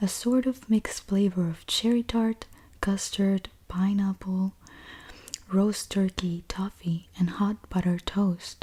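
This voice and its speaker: Soft-spoken delivery at a very slow pace. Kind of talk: book reading aloud, bedtime story.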